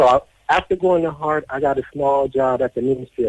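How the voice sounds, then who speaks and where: A man with an American accent and an unremarkable speaking voice talks at a moderate pace with ordinary pitch variation, in a dry, close recording with no echo. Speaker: deportee telling life story. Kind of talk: interview testimony.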